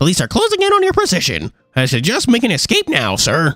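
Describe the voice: Over background music, a man rattles along at a very fast pace in a put-on character voice.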